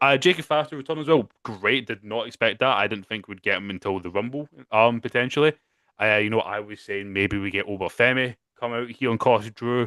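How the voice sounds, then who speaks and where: In a Scottish accent, a man speaks at a moderate pace and medium pitch with ordinary pitch variation, recorded dry and close with no echo against a quiet background. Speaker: wrestling podcast co-host. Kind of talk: casual chat. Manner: animated, with frequent fillers and restarts.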